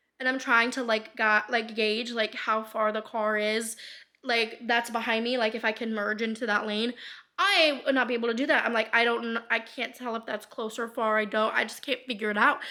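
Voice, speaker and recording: The voice is animated, with a bright, sharp tone and a fairly quick pace. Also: woman. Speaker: lifestyle vlogger. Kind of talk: casual monologue vlog. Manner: fast.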